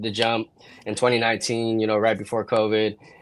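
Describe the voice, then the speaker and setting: A man with a West Coast US accent speaks at a fairly quick pace. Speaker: videographer and content creator. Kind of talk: casual chat.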